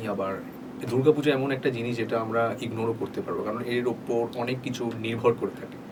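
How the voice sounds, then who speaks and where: A man talks at a medium pitch. His fairly even intonation comes through noticeable background noise. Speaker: voice-over artist. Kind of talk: casual talk to camera, behind-the-scenes interview answer. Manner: conversational, code-switching between Bengali and English.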